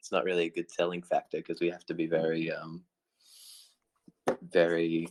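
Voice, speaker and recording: A man with an Australian accent at a fairly quick pace, in a dry, close sound with no echo. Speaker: crypto project team member. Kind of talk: online Q&A session.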